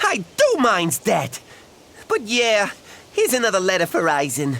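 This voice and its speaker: This is a put-on character voice with a fairly high pitch. The pace is moderate. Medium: video game. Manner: excitable.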